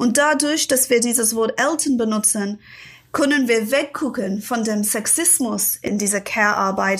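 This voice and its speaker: At a fairly slow pace, a woman speaks at a fairly high pitch with ordinary pitch variation. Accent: English. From London, England. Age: 40s. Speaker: author.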